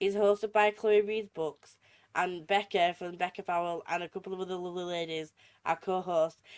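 A woman in a Yorkshire accent, medium pitch and moderate pace. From Yorkshire, England. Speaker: podcast host. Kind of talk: casual chat.

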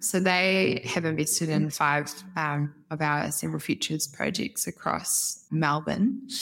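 With a New Zealand accent, a woman with a very deep, low pitch and vocal fry speaks with ordinary pitch variation. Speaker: head of brand at a housing developer. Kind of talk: podcast interview.

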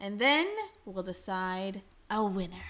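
This is a normal speaking voice at a moderate pace. The intonation is lively. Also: woman. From Canada. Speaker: podcast host. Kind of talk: casual chat. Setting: indoors at a table, heavy rain outside.

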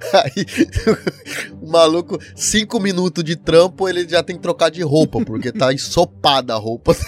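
With music in the background, the speaker uses an animated tone and lively intonation at a moderate pace, in a dry, close sound with no echo. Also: man, high pitch for a man. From Paraná, southern Brazil. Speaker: podcaster, former factory worker in Japan. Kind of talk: casual chat. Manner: animated, slangy.

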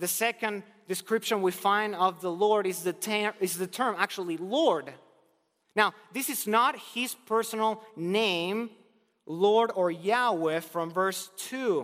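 With a Spanish accent, a man speaks at a very slow pace in a high voice. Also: ordinary pitch variation. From Argentina. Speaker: preacher. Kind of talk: sermon. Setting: chapel.

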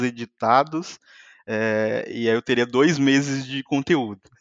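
Here a man talks at a fairly slow pace with ordinary pitch variation. He has an unremarkable speaking voice. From Brazil, Minas Gerais (Muriaé). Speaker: software engineer and YouTuber. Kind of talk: casual chat.

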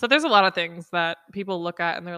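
The recording is very clean, dry and close, with a silent background and no echo. A woman speaks at a medium pitch in a bright, sharp tone with ordinary pitch variation. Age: 20s. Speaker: solo podcaster on relationships. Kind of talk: casual monologue. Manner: animated.

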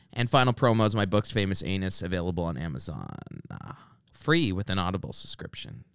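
A man with a Canadian accent talks at a very fast pace in a very deep, low voice with vocal fry and lively intonation. His loudness swings widely, and the recording is very clean with a silent background. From Canada. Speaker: comedian and podcast host. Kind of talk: casual chat; podcast promo read.

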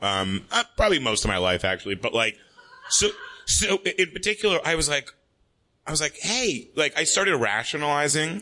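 In front of a quiet background, a man with an American accent speaks at a moderate pace, his fairly high, bright, sharp voice making very wide pitch swings. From New York, Manhattan. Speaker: comedian guest. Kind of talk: live comedy talk show interview. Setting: stage with audience.

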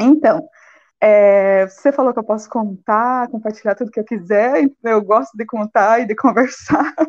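A woman's unremarkable speaking voice, fairly high in pitch, with ordinary pitch variation and a fairly slow pace over a quiet background. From Brazil, Paraná (Ponta Grossa). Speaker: sociology teacher and master's student. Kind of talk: live-stream interview.

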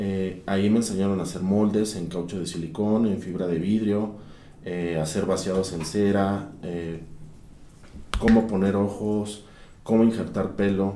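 A man speaks in a dark, mellow tone at a fairly low pitch with fairly even intonation. His pace is fairly slow, and audible room echo surrounds the voice. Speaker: sculptor and workshop director. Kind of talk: interview. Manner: halting.

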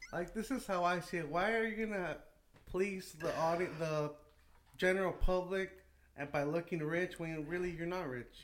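At a moderate pace, a man with an American accent speaks in a high pitch with ordinary pitch variation. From California, Salinas. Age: 20s. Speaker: small business owner. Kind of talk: casual chat.

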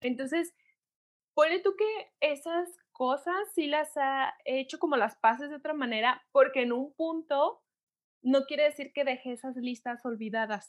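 Lively intonation from a woman with a high pitch, at a fairly slow pace. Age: 30s. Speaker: podcast co-host. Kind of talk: casual chat.

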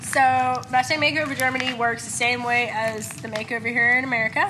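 Amid noticeable background noise and audible room echo, a woman talks at a fairly quick pace with a fairly high pitch and fairly even intonation. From Tennessee (Chattanooga). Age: 20s. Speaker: mustang trainer. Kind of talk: casual chat.

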